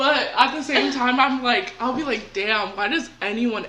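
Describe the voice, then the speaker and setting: High-pitched woman at a moderate pace, with audible room echo and noticeable background noise. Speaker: podcast co-host. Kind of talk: casual chat.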